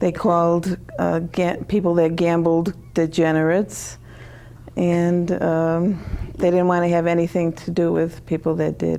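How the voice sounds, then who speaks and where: Noticeable background noise sits behind a fairly slow, monotone delivery with flat intonation, very even loudness and an American accent. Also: woman, fairly low pitch for a woman. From Connecticut, US. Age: 60s. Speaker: author. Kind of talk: interview.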